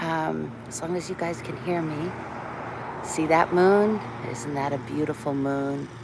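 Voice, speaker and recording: The voice has a relaxed tone, a fairly slow pace and ordinary pitch variation, with audible room echo and noticeable background noise. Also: woman, very deep, low pitch for a woman. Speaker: vlogger, doctor. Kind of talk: casual live-stream chat. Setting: outdoors on a walk.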